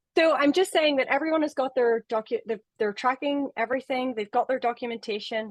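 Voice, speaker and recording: Dry and close with no echo, the recording captures a woman speaking in a high pitch. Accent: Irish. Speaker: webinar moderator. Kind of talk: webinar panel discussion.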